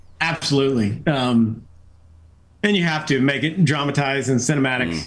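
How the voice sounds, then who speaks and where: With an American accent, a man speaks at a fairly high pitch with ordinary pitch variation and very even loudness, and the room echo is audible. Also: fairly quick pace. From New England, US. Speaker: retired fighter pilot and astronaut. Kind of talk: podcast interview. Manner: casual, many fillers.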